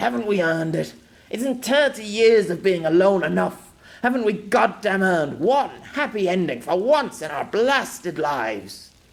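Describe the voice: A man's put-on character voice, high for a man, with big pitch swings, vocal fry, a fairly slow pace and audible room echo.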